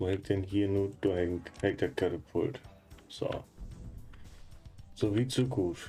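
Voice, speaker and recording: A man's fairly low voice at a very slow pace, with long, frequent pauses, ordinary pitch variation and music in the background. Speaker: let's player. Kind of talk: casual gameplay commentary.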